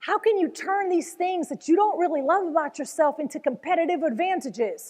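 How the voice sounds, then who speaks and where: Animated in tone, a woman with an extremely high voice talks at a fairly quick pace with lively intonation. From Venezuela. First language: Spanish. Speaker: motivational speaker, former news anchor. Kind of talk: motivational talk.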